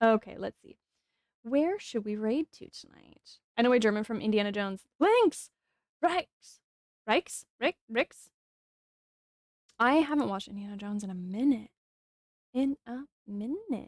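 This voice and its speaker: A woman speaks at a fairly slow pace with long, frequent pauses and big swings in loudness. Her tone is animated and her intonation lively, the sound dry and close with no echo. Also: fairly high pitch for a woman. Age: 40s. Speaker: game streamer. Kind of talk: casual chat. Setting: live stream.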